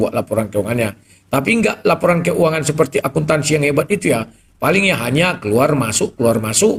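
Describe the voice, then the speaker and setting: A man's voice with vocal fry moves through very wide pitch swings. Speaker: live stream host taking callers. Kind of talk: live stream talk with callers. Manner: explosive, loud.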